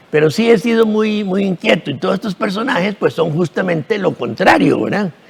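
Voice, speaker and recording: Over noticeable background noise, a man with a high voice talks at a fairly quick pace with lively intonation. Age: 70s. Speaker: actor. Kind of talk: TV interview. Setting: TV studio. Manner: halting, repetitive.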